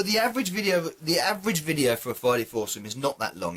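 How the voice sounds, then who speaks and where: A man talks at a very fast pace in a British accent. His bright, sharp tone swings very widely in pitch. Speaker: gaming YouTuber. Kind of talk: casual vlog monologue. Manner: halting, many fillers.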